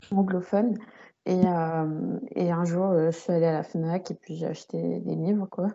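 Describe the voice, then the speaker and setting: In an unremarkable speaking voice, a woman talks at a fairly slow pace, her pitch fairly low and her intonation fairly even. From Paris region, France. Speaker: podcast host, book content creator. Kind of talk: casual interview chat.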